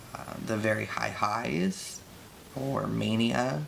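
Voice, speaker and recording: Audible room echo and noticeable background noise accompany a man speaking at a fairly slow pace. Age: 30s. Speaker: artist vlogger. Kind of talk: casual chat.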